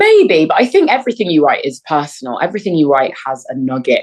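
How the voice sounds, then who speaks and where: In a London accent, a woman speaks with a very deep, low pitch. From North London. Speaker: actor and playwright. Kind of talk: interview answer.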